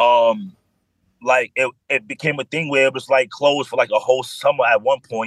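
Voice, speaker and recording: A man's fairly high voice in a New York accent, dry and close with no echo. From New York, the Bronx. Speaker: adult film performer. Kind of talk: casual chat.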